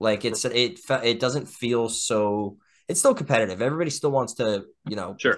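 This man speaks with an American accent at a moderate pace. His pitch is medium, with ordinary variation. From northeastern Pennsylvania. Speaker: band member; guest. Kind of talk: casual chat. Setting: video call. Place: home room. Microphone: video call.

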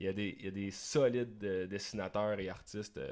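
Fairly even intonation from a man with an ordinary speaking voice, fairly low in pitch, against a quiet background. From Quebec. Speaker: musician and video producer; podcast guest. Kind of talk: casual interview. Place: studio. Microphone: studio mic.

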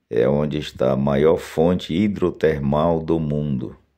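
Speaking at a fairly slow pace, a man has a very deep, low pitch, a dark, mellow tone and fairly even intonation. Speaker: video channel host promoting a social club. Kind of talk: sales pitch, outdoor video tour. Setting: outdoors, filming on site with drone.

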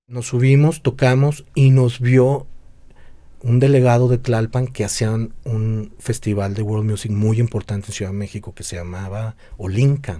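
A man with a dark, mellow tone speaks at a fairly slow pace, his loudness swinging widely. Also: ordinary pitch variation. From Mexico, Guadalajara; Jalisco, Mexico. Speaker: drummer and music teacher; music teacher. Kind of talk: casual chat. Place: home room. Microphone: studio mic.

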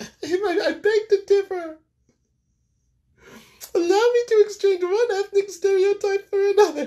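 A man puts on a character voice, extremely high in pitch. He talks at a fairly slow pace with long, frequent pauses. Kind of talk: comic ethnic caricature. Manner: dry, wise-cracking, philosophical.

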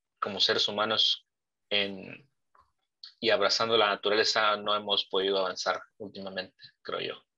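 Over a quiet background, a man's speech moves along at a moderate pace. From Mexico. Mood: reflective, nostalgic. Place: home room. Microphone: video call.

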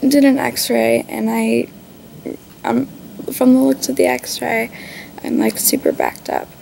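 A woman speaks in a tired tone over light background noise. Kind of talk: casual vlog chat. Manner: weak, tired, slow patient voice.

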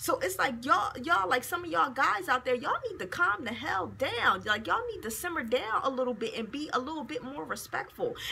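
A woman with a high pitch projects a raised voice at a fairly quick pace, with very wide pitch swings, big swings in loudness and hardly any pauses. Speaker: video blogger. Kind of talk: angry rant, indignant and profane, scolding men who can't take rejection. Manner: heated, fast, sarcastic and exasperated, with emphatic profanity. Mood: annoyed, venting. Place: office. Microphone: phone near.

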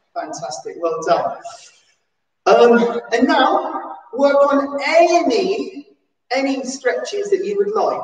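There is audible echo from the room. The speaker's pitch swings very widely. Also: woman. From England. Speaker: PE teacher at a special school. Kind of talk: live-stream seated exercise class, calling out football celebration poses to copy. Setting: live stream from home during lockdown. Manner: animated, cheerful cheerleading with whoops and shout-outs; rambling, self-interrupting chatty asides. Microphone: camera far.

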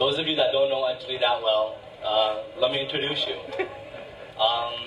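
Noticeable background noise sits behind a man talking at a moderate pace. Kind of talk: speech at a celebration. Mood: warm, fond, a bit emotional. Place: hall.

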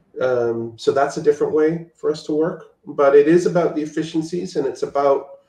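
A man's high voice at a fairly quick pace, with ordinary pitch variation and audible room echo. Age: 60s. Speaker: visual effects supervisor. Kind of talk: casual interview. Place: home room. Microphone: video call.

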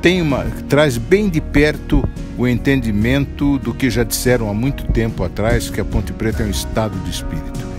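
With music in the background, a man talks at a moderate pace and medium pitch, his pitch swinging very widely. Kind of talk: interview answer.

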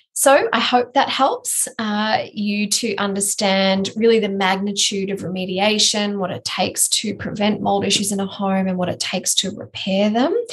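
In an Australian accent, a woman talks at a moderate pace with fairly even intonation and hardly any pauses. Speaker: building biologist and podcast co-host; podcast co-host. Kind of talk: casual educational chat. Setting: remote recording with sketchy internet. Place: office.

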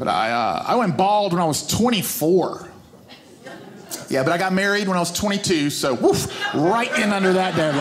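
A man's voice amid loud background noise. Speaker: stand-up comedian. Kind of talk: stand-up comedy routine. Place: stage. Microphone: handheld.

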